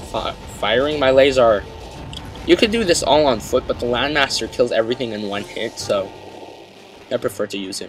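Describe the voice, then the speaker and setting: Over music in the background, a man at a medium pitch speaks with long, frequent pauses and big swings in loudness. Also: ordinary pitch variation, moderate pace. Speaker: let's play gamer. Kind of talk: gameplay commentary. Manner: animated.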